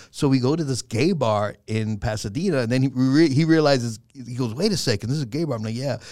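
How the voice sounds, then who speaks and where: At a very fast pace with hardly any pauses, a man with a New York accent speaks at medium pitch with ordinary pitch variation on a very clean recording with a silent background. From Bronx, New York, Puerto Rican family. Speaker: comedian and actor. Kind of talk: casual chat.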